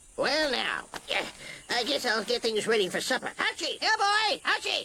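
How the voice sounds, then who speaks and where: In a cartoonish character voice, a man speaks at a moderate pace with an extremely high pitch and very wide pitch swings. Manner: gruff, folksy.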